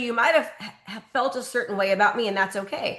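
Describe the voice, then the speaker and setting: Over noticeable background noise, a woman talks at a very fast pace and a high pitch with ordinary pitch variation. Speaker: real estate coach. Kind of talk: live training call Q&A.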